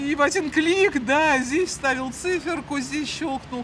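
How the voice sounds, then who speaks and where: The speech moves at a very slow pace with ordinary pitch variation, and there is noticeable background noise. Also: woman. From Moscow, Russia. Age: 60s. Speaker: chief accountant, street interviewee. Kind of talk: street interview.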